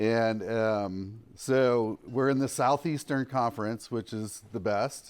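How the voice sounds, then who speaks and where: Speaking at a very slow pace, the man has a medium pitch and ordinary pitch variation. The recording is very clean, with a silent background. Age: 60s. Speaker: campus minister speaker. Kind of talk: conference talk.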